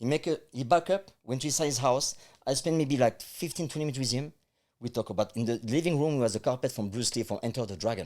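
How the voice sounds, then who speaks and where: A man speaks at a very fast pace with lively intonation and a medium pitch. The recording is very clean, with a silent background. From France. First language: French. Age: 50s. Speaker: life coach. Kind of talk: interview.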